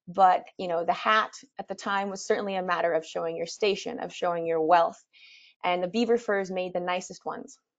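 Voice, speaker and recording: Against a quiet background, a woman speaks at a fairly quick pace. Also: fairly even intonation. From Canada. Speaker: expedition leader and presenter. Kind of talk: webinar presentation. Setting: webinar. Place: home room.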